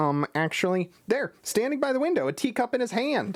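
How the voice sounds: A man's put-on character voice, extremely high in pitch with very wide pitch swings, at a fairly quick pace.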